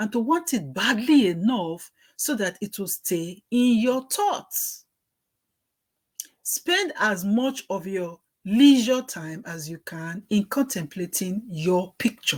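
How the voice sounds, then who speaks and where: Very slowly and in a strong Nigerian accent, a woman speaks with very wide pitch swings, big swings in loudness and a somewhat breathy sound. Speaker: working mother. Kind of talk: book reading with commentary.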